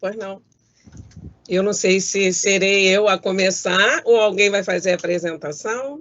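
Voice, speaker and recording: Speaking at a fairly slow pace, a woman uses a normal speaking voice at a medium pitch with ordinary pitch variation. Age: 60s. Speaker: judge. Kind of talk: prepared talk. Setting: video call from home. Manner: formal.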